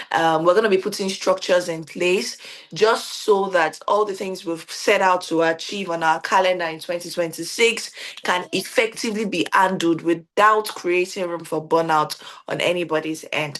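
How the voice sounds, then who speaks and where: Noticeable background noise sits behind a woman with a fairly low pitch. She talks at a moderate pace with fairly even intonation. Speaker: organization founder hosting team event. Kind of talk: virtual event hosting. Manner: loud.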